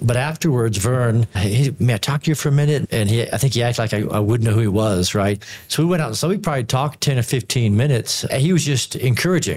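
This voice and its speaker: A man talks at a very fast pace with hardly any pauses, his medium pitch showing ordinary variation. His loudness stays very even, and his voice is somewhat breathy. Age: 50s. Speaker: theology professor. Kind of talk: panel discussion.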